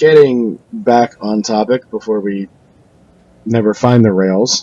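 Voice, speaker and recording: A soft-spoken man talks at a very slow pace, the sound dry and close with no echo. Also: medium pitch for a man, ordinary pitch variation. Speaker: podcast host. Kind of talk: casual chat.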